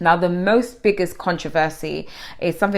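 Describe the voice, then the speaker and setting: The speaker has a London accent. Their pitch varies in an ordinary way. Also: woman. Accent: London English, multicultural London. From London (Harlesden), England. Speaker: YouTuber, celebrity commentator. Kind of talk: casual vlog commentary. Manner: chatty, conversational.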